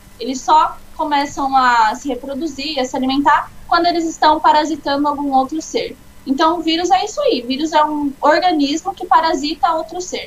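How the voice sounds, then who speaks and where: Ordinary pitch variation comes through as the voice moves along at a moderate pace. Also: woman, high pitch for a woman, hardly any pauses. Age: 20s. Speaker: biology student and Pathfinder instructor. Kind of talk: informal lesson in a live chat. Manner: casual, explanatory.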